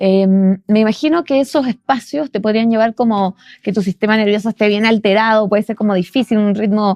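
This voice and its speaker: A fairly high woman's voice in a Chilean accent, fairly even in intonation, with a dry, close sound, no echo and a quiet background. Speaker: podcast host. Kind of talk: interview conversation.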